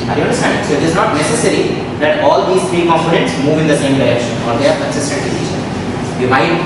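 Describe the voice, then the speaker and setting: Amid loud background noise and audible room echo, a man speaks very fast with ordinary pitch variation. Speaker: ethics lecturer. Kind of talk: lecture. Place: classroom.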